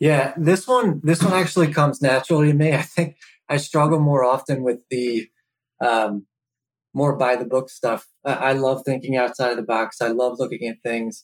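An ordinary speaking voice, a man with an American accent at a medium pitch and moderate pace with ordinary pitch variation. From Philadelphia area. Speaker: logistics company co-founder. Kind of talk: casual interview.

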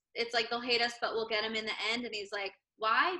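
Her pitch sits fairly high for a woman. The tone is bright and sharp. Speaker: podcast co-host. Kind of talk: casual chat. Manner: excitable.

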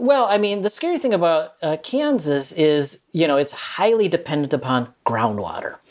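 A man with an American accent speaks at a moderate pace and a high pitch, his pitch swinging very widely, with hardly any pauses. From US Midwest, Minnesota. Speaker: journalist and author. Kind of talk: interview.

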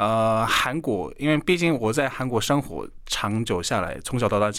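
A man with a Korean accent talks at a moderate pace and medium pitch with lively intonation and hardly any pauses, in a very clean recording with a silent background. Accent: Korean-accented Mandarin. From South Korea. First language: Korean (speaking Chinese). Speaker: Korean language teacher and YouTuber. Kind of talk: radio interview.

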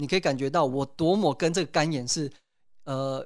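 A plain, everyday voice from a man, fairly high-pitched, at a moderate pace in a very clean recording with a silent background. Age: 30s. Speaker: potter and hepatitis C patient. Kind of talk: interview testimony.

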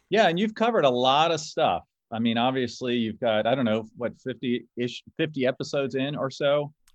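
This man has a plain, everyday voice at medium pitch, talking at a fairly quick pace with lively intonation. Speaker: car specialist and podcast host. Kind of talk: casual interview chat. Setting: remote call.

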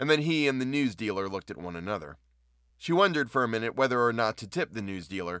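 An unforced reading voice, lively in its intonation

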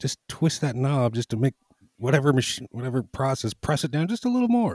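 Somewhat breathy and dark, mellow in tone, a man talks at a fairly quick pace with lively intonation. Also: dry, close sound with no echo. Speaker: podcast guest. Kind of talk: casual chat.

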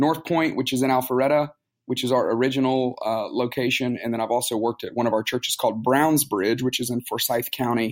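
Fairly quick and at a medium pitch, a man speaks with fairly even intonation and an unremarkable speaking voice. The recording is very clean with a silent background. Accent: American. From US South, Tuscaloosa, Alabama. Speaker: pastor. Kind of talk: interview.

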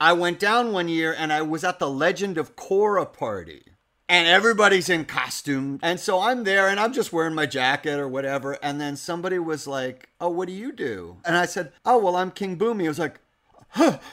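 A man with an American accent speaks in a high-pitched, bright, sharp tone on a very clean recording with a silent background. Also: ordinary pitch variation, fairly quick pace. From New York. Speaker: voice actor. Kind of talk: casual chat.

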